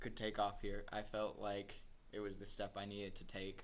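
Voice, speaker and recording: With audible room echo, a man speaks in a bright, sharp tone with monotone, flat intonation. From Colombia. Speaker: singer-songwriter. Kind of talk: casual interview.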